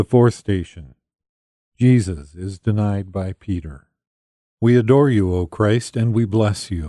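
The voice has a dark, mellow, solemn tone, ordinary pitch variation, a fairly slow pace with long, frequent pauses, and a dry, close sound with no echo. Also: man, fairly low pitch for a man. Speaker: prayer leader (minister). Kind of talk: devotional prayer reading, call and response. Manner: solemn, reverent, measured.

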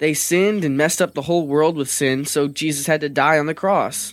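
Speaking at a fairly quick pace in an animated tone, a man comes through on a very clean recording with a silent background. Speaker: actor voicing a rock character. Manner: animated, chatty, earnest.

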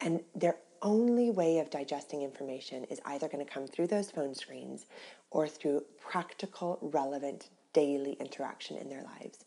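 A woman's very deep, low voice with an American accent, dark and mellow in tone, at a moderate pace with big swings in loudness. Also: ordinary pitch variation. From US West Coast, Orange County, California. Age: 30s. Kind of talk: faith testimony interview.

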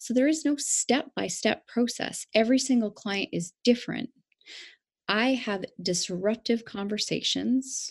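In a quiet background with a dry, close sound and no echo, a woman with a plain, everyday voice speaks at a fairly slow pace in a fairly high pitch with ordinary pitch variation. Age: 40s. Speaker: life coach. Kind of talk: interview.

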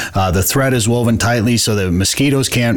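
Behind the speaker there is noticeable background noise. He is a man with an American accent. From Minnesota. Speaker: podcast host. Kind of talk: casual interview chat with ad reads.

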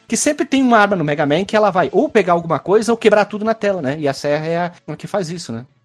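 With lively intonation and a high pitch, a man rattles along at a very fast pace with hardly any pauses. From Caxias do Sul, Rio Grande do Sul, Brazil. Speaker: podcast host. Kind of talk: casual chat.

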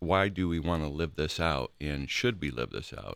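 A man with a very deep, low pitch and vocal fry speaks at a fairly slow pace in a very clean recording with a silent background. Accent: American. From Ohio, Akron. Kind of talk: casual chat.

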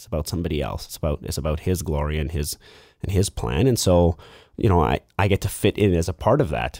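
A very deep, low-pitched man's voice, dark and mellow with vocal fry, ordinary pitch variation and a Western Canadian accent, dry and close with no echo over a silent background in a very clean recording. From Lower Mainland, British Columbia, Canada (Vancouver). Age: 30s. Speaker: church elder, manufacturing manager. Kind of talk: casual interview chat.

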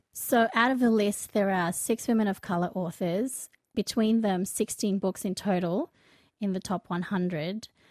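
A plain, everyday voice from a woman at medium pitch, moderate pace and ordinary pitch variation, dry and close with no echo on a very clean recording with a silent background. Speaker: podcast host. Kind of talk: casual chat.

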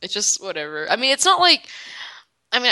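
Her tone comes across bright and sharp. The woman talks with a Southern US accent. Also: dry, close sound with no echo. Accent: Southern US, pin-pen merger. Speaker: co-host podcaster. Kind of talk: casual podcast chat about a show.

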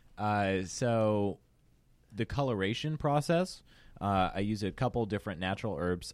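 A man has an unremarkable speaking voice, fairly low in pitch, at a moderate pace. The recording is very clean, with a silent background. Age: 20s. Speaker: distiller. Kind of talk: casual interview. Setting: studio.

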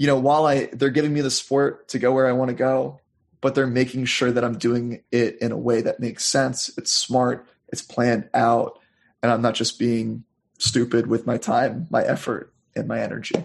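A man's medium-pitched voice with an American accent, vocal fry and little pitch movement at a moderate pace.

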